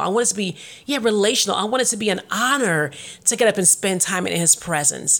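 Over noticeable background noise, the speech runs at a very fast pace with ordinary pitch variation. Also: woman. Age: 40s. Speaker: faith podcast host. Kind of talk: casual monologue.

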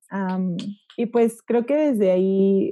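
The voice has a dark, mellow tone and ordinary pitch variation, heard over a quiet background. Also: woman, dry, close sound with no echo. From Aguascalientes, Mexico. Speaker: English teacher, podcast host. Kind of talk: casual chat.

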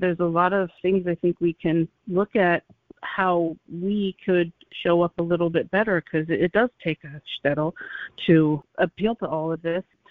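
A woman with an American accent and a plain, everyday voice speaks at a moderate pace, fairly low in pitch and with fairly even intonation. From US Midwest, Ohio. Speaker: TV show host. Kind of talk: interview.

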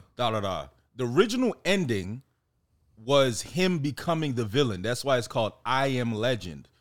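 Here is a man with an unremarkable speaking voice and an American accent. His pitch is medium and his pace moderate, on a very clean recording with a silent background. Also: lively intonation. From Miami, Florida (Jamaican parents). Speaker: independent filmmaker and screenwriter. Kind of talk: casual chat.

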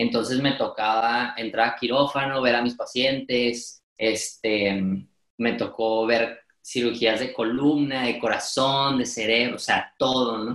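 Very slowly and in a flat monotone, a man speaks at medium pitch. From Mexico, Monterrey. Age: 20s. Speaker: podcaster and speaker. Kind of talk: interview.

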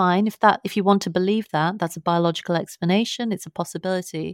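This woman has a London accent and talks at a fairly quick pace. The recording is very clean with a silent background, and the sound is dry and close with no echo. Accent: British (London). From London, England. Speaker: author and science journalist. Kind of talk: interview conversation.

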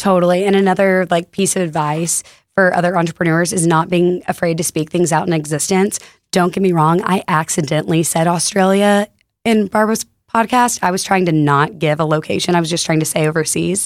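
A woman with an American accent speaks at a fairly quick pace in a fairly low voice, an ordinary speaking voice. Her intonation is fairly even and her loudness very even. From Texas, Fort Worth. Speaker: retail store co-founder. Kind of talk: casual chat. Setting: studio.

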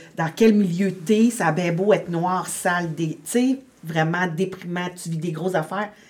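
Over noticeable background noise, a woman with a medium pitch speaks at a moderate pace with fairly even intonation. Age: 50s. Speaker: domestic violence shelter coordinator. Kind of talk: testimony.

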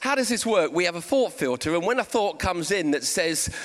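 A man with a Portsmouth accent, a high pitch, a fairly bright tone and lively intonation. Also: fairly quick pace. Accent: southern English, Portsmouth.

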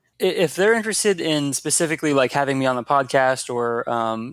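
This is an unremarkable speaking voice with an American accent. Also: man. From US, Washington DC area (Fairfax County, Virginia). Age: 20s. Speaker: nonprofit founder. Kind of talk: interview.

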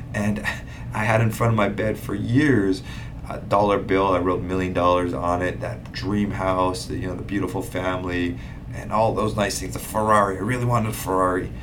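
Talking at a fairly quick pace with a very deep, low pitch, a man uses lively intonation amid noticeable background noise and audible room echo. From Hawaii, Big Island (Hilo). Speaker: real estate investor and podcast host. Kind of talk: casual monologue. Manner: casual, filler-heavy.

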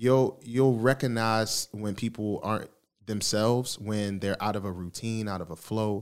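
A normal speaking voice with an American accent, moving at a moderate pace with fairly even intonation. The recording is very clean, with a silent background. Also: man, fairly low pitch for a man. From Baltimore, US East Coast. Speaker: podcast host and mental health advocate. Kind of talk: casual interview.

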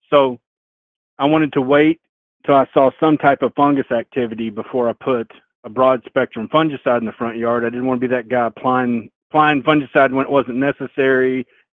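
In a Southern US accent, a man of medium pitch talks at a fairly quick pace with fairly even intonation. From Arkansas, lives in Indiana. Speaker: caller. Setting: phone call.

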